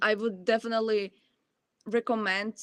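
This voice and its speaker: A woman talks with a Ukrainian accent at a moderate pace. The sound is dry and close, with no echo. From Ukraine. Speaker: college student. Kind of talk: Q&A answer at online presentation.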